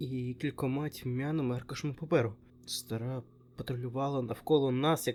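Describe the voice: The voice is plain reading aloud, with fairly even intonation.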